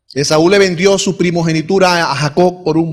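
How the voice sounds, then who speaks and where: A man with a fairly high pitch and an ordinary speaking voice talks at a moderate pace. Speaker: pastor. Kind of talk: sermon. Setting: church.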